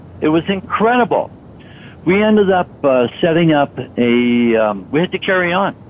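The voice moves through very wide pitch swings at very even loudness. Noticeable background noise is present. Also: man, high pitch for a man, moderate pace. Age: 60s. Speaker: supplement company co-founder. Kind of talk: radio interview.

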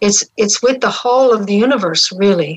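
A woman speaks with a Newfoundland accent, her pitch fairly high with ordinary variation. Her pace is moderate. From Newfoundland, St. John's. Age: 70s. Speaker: spiritual mentor and facilitator. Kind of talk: live radio interview.

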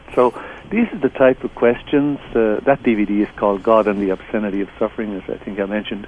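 A man's fairly low voice, fairly quick and fairly even in intonation, over noticeable background noise. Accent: Irish. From southeast Ireland. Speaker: theologian and author. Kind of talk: interview.

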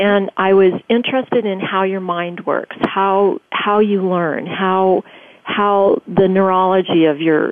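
In an American accent, a woman with a normal speaking voice talks at a medium pitch and a fairly slow pace, her intonation fairly even. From grew up in Tokyo, US Air Force family. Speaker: education entrepreneur and author. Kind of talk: radio interview.

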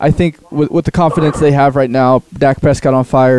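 Recorded with a dry, close sound and no echo, a man with an unremarkable speaking voice talks at a medium pitch and a fairly quick pace, his intonation fairly even. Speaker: producer and sports talk co-guest. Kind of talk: casual sports chat. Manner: casual, filler-heavy.

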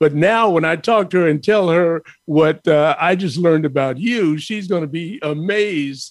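With a New York accent, a man speaks at a moderate pace in a high pitch with ordinary pitch variation. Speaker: radio host. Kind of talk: interview.

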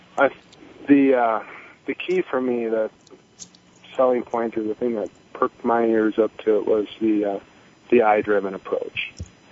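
A man with a medium pitch and fairly even intonation speaks at a moderate pace with long, frequent pauses, over noticeable background noise. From North Dakota. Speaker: lean manufacturing specialist. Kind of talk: phone-in call. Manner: halting, many fillers.

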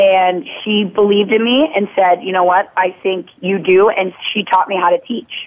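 Speaking with an American accent, a woman talks at a medium pitch and a moderate pace, with ordinary pitch variation and hardly any pauses. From Minnesota, US Midwest. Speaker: fitness coach. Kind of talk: interview. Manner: animated.

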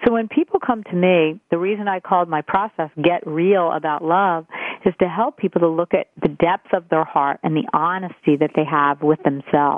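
Speaking at a moderate pace, a woman has a fairly low pitch. Her pitch varies in an ordinary way. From US East Coast, Italian-American family. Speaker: dating coach and author. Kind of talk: radio interview. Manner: bubbly, energetic.

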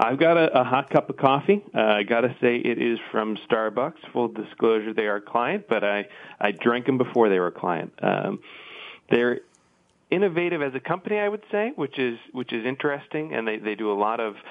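In a normal speaking voice, a man with a medium pitch talks at a fairly quick pace with lively intonation. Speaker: industry analyst.

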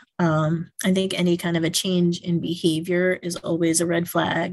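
A woman speaks at a fairly slow pace, her fairly low voice held in a monotone, flat intonation. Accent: American. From New York, Yonkers. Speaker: school principal. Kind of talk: interview.

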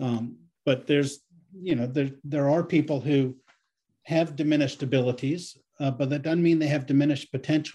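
A man talks in a dark, mellow, somewhat breathy tone. His intonation stays fairly even. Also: fairly high pitch for a man, fairly quick pace. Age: 60s. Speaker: guest on senior-issues podcast, anti-ageism advocate. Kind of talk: interview conversation. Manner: halting with frequent repetitions.

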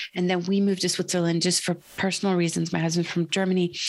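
This woman has an American accent. Her pitch sits fairly low. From US Pacific Northwest, Portland, Oregon. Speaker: investment manager. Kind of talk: interview.

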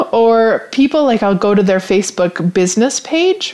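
A woman's dark, mellow voice at a moderate pace, with ordinary pitch variation. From Canada, rural Saskatchewan. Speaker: podcast host, business coach. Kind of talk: casual solo talk show. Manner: animated, laughs often.

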